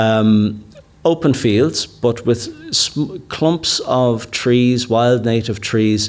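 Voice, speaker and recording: A man speaks very slowly in a Dublin accent. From Ireland, Dublin (Kilmainham, Inchicore). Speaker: rewilder and author, conference keynote speaker. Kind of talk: keynote talk. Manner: halting, many repetitions and fillers.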